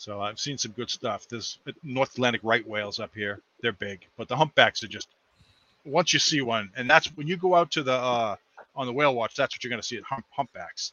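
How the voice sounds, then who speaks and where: A man with an American accent, medium pitch and ordinary pitch variation at a fairly quick pace, an unremarkable speaking voice. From Massachusetts. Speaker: chemical research worker. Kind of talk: casual chat.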